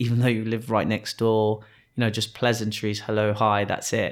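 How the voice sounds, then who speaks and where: A fairly low male voice in a flat monotone, on a very clean recording with a silent background. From Kenya, moved to England around age 12. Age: 30s. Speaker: business owner. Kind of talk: casual interview conversation.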